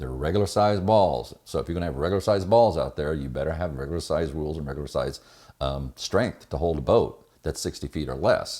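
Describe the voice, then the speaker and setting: In a very clean recording with a silent background, a man with a very deep, low pitch, a dark, mellow tone and vocal fry talks at a moderate pace. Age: 60s. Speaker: sailing vlogger. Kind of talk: casual vlog talk to camera.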